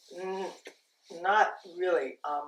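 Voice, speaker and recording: A woman's voice sits at a fairly low pitch with ordinary pitch variation. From US South, Louisiana/Texas community. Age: 70s. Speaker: interviewee. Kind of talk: interview.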